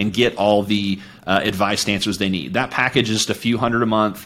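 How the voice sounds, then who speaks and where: A man with a plain, everyday voice speaks fairly quickly at a fairly low pitch with fairly even intonation. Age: 40s. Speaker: coach and entrepreneur. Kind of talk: casual chat.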